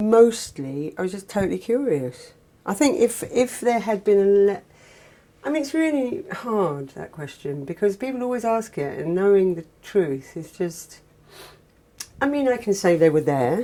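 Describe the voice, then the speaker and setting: Speaking at a moderate pace with an English accent, a woman uses a medium pitch with very wide pitch swings and big swings in loudness. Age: 40s. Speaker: former heroin addict. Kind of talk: testimony. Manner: halting.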